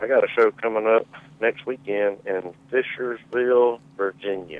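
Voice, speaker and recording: A man speaks with a Southern accent at medium pitch. His pace is fairly slow. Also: fairly even intonation. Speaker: caller. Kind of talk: casual chat. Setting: phone call.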